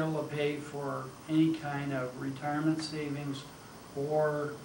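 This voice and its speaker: There is noticeable background noise along with audible room echo. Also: man. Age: 60s. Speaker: artist and poet giving a talk. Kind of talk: informal talk with Q&A. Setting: college talk with audience. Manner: casual, conversational.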